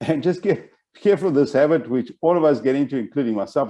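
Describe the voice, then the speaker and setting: Very wide pitch swings run through a voice with a dark, mellow tone. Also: man, quiet background. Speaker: business educator. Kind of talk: webinar presentation. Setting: online webinar. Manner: fast when excited.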